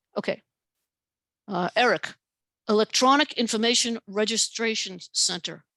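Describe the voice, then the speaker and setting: With long, frequent pauses, a woman speaks at a fairly high pitch with ordinary pitch variation, in a dry, close recording with no echo. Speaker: professor and author giving a talk. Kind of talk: lecture with Q&A. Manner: fast; hesitant with fillers.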